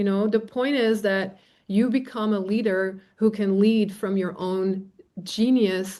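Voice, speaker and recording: A woman with a non-native accent speaks in a fairly high pitch against a quiet background. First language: not English. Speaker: facilitator and trainer. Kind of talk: live Q&A. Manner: casual, animated.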